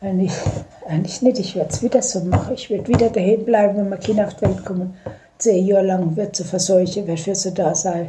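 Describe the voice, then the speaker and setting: Over noticeable background noise, a woman speaks at a very fast pace with a medium pitch and fairly even intonation. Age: 70s. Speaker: grandmother interviewed by granddaughter. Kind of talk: casual chat. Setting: dining room at home. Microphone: phone recording, poor quality.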